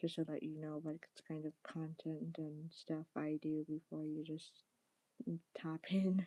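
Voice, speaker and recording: Soft-spoken and monotone, a woman talks at a fairly slow pace with a very deep, low pitch and a dark, mellow tone, in a dry, close sound with no echo. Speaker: live streamer. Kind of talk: casual chat. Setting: live stream.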